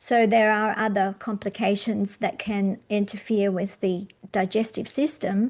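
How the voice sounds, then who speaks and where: With a quiet background, a woman speaks in a normal speaking voice at medium pitch and a fairly slow pace, her intonation fairly even. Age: 60s. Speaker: podcast host and magnesium supplier. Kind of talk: interview.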